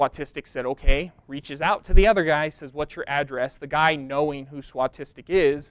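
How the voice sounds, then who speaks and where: With hardly any pauses, a man talks at a moderate pace in fairly even intonation, the sound dry with no echo. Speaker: presenter. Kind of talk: lecture. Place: hall. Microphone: lapel.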